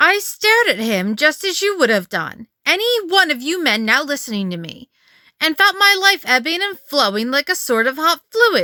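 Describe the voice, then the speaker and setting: A put-on character voice rides high in pitch with very wide pitch swings. The pace is moderate. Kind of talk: Edwardian ghost story reading. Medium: read story.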